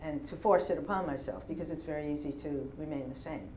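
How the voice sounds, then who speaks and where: With a New York accent, a woman speaks in a very deep, low pitch with ordinary pitch variation. Audible room echo and noticeable background noise fill the recording. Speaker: poet. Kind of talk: Q&A after a poetry reading. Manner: thoughtful, slightly halting.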